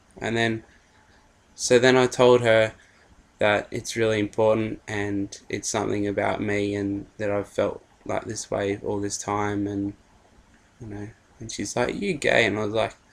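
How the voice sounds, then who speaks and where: In an Australian accent, a man speaks at a fairly slow pace in a fairly low, monotone voice with flat intonation and long, frequent pauses. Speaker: vlogger. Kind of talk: personal story vlog. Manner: hesitant, many fillers.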